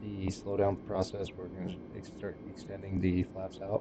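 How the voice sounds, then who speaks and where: Noticeable background noise sits behind this man. He speaks at a fairly low pitch and a fairly slow pace. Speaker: flight sim streamer. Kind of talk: live gameplay commentary. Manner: casual, hesitant with fillers.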